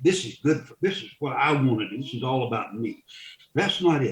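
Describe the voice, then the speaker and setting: A voice with a Southern US accent and very wide pitch swings. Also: man. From US South, central North Carolina. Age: 70s. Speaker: funeral director and Vietnam veteran. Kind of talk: interview conversation. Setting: podcast. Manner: halting, repeats words.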